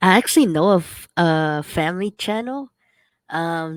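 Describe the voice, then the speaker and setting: A woman speaks at a fairly low pitch. The recording is very clean with a silent background, and the sound is dry and close with no echo. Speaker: YouTuber. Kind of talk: casual chat. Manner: loud.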